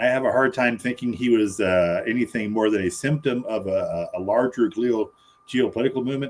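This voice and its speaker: A man speaks at a fairly quick pace. His pitch sits in the medium range. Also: ordinary pitch variation. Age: 60s. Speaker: political commentary panelist. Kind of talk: casual debate. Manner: halting, repeated starts.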